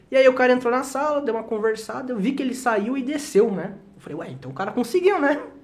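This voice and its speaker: A man talks at an extremely high pitch and a very fast pace, his loudness swinging widely. Noticeable background noise runs underneath. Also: ordinary pitch variation. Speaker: teacher. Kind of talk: casual chat.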